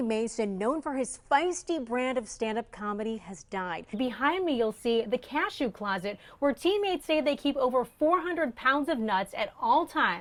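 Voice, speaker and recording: With an American accent, a woman speaks in a high voice at a moderate pace, her pitch swinging very widely. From Midwest United States. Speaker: TV news reporter and anchor. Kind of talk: TV news anchor read.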